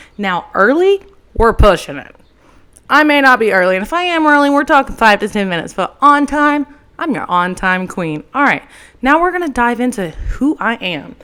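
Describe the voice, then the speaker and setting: Speaking at a moderate pace with an East Texas accent, a woman uses a high pitch, a bright, sharp tone and very wide pitch swings. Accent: Southern US (East Texas). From US South, Tyler, Texas. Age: 20s. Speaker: podcast host and entrepreneur. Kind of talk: casual solo podcast monologue. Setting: holding a handheld microphone. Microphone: handheld mic held close to her face.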